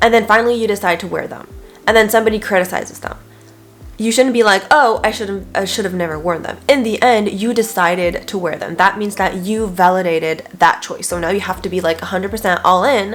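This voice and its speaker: A woman talks at a fairly quick pace with ordinary pitch variation while music plays in the background. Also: medium pitch for a woman. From France. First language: French. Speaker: nutrition coach and lifestyle video creator. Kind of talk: self-help talk to camera. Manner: casual, conversational.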